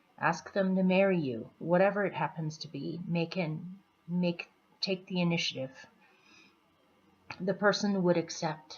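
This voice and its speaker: Soft-spoken and fairly low-pitched, a woman talks at a moderate pace with fairly even intonation. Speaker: tarot reader. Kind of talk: tarot reading for viewers.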